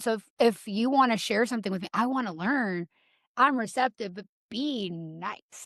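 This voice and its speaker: A woman with an American accent and fairly high pitch speaks with ordinary pitch variation and big swings in loudness, the sound dry and close with no echo over a quiet background. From US South. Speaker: matchmaker. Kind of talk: casual chat.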